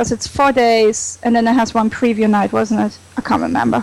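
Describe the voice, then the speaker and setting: Speaking at a moderate pace, a woman with a German accent uses a fairly high pitch and fairly even intonation. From Germany. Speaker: comic con fan. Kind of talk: casual chat.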